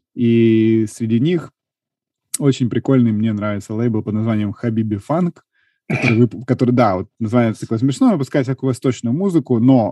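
A man talks at a moderate pace at medium pitch in an ordinary speaking voice, with ordinary pitch variation. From Ukraine, Kharkiv. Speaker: podcast host. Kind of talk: casual chat.

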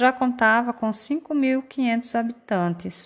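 A woman is speaking. Her pace is very slow. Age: 40s. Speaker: teacher. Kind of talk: scripted narration.

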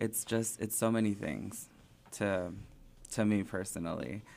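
On a very clean recording with a silent background, a man with a plain, everyday voice speaks at a fairly low pitch with fairly even intonation. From southern California, raised in Springdale, Arkansas. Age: 20s. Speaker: drag performer. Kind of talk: casual interview chat.

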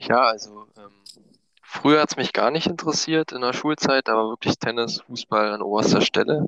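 Close and dry with no echo, a man's bright, sharp voice moves at a moderate pace with big swings in loudness. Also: medium pitch for a man, ordinary pitch variation. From Brandenburg, eastern Germany (Eisenhüttenstadt). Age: 20s. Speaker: gaming league player. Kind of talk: casual chat. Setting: at home in quarantine.

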